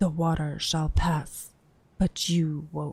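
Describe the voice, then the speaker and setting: At a very slow pace, a put-on character voice speaks at a middle pitch. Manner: ominous, cryptic.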